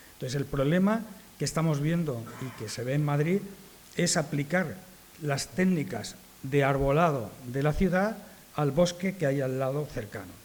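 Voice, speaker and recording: A man's fairly high, somewhat breathy voice at a fairly slow pace, with ordinary pitch variation and audible room echo. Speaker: arborist association speaker. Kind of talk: conference talk. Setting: conference with audience.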